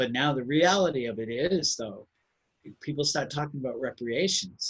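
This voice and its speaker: Somewhat breathy and with an American accent, a man speaks at a moderate pace in a fairly high voice with ordinary pitch variation. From Cambridge, Massachusetts. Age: 60s. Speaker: racial justice activist. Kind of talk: personal storytelling at online gathering. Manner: conversational, with hesitations and repetitions.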